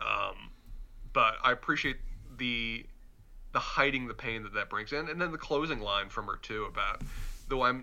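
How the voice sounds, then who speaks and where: A man with a slight Southern US accent at a fairly quick pace. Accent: mild Southern US. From Charlotte, North Carolina. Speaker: podcast co-host. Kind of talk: casual chat.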